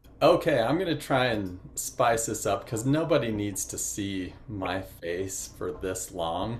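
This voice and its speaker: Very slowly and with lively intonation, a man speaks amid audible room echo. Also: fairly low pitch for a man, hardly any pauses. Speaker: master printer and printmaking educator. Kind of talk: virtual presentation with slides. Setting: video call.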